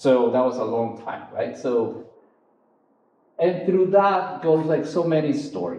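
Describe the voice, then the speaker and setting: With an Ecuadorian accent, a man speaks fairly slowly in a fairly high, dark, mellow voice with vocal fry. His pitch swings very widely, and the room echo is audible. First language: Spanish. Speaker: photographer. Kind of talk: artist talk. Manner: halting, many fillers.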